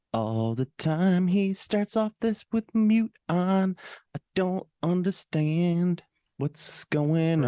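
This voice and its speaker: Dark and mellow in tone, a woman with a fairly low pitch speaks at a very slow pace with lively intonation. Her loudness stays very even, and the sound is dry and close with no echo. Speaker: podcast co-host.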